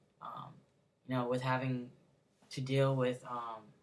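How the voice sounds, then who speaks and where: An American accent marks this man's speech. He talks at a moderate pace and medium pitch. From Connecticut. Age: 20s. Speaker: vlogger. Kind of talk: personal vlog. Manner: hesitant, many fillers.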